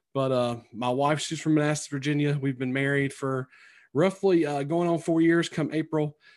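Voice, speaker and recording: In a very clean recording with a silent background, a man with a North Carolina accent talks at a moderate pace, his fairly high voice held in fairly even intonation. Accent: Southern US (North Carolina), twangy. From North Carolina, Sampson County. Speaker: teacher and author. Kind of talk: casual interview chat.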